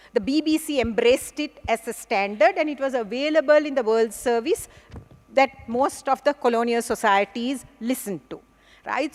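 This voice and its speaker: With a Sri Lankan accent, a woman speaks at a high pitch with ordinary pitch variation in a dry, close sound with no echo. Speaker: English professor. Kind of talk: conference plenary lecture.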